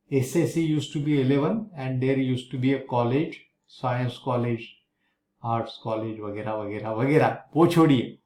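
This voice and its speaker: There is audible room echo as a man speaks at a moderate pace. His medium-pitched voice has a dark, mellow tone and ordinary pitch variation. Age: 70s. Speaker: math teacher. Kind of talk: lecture.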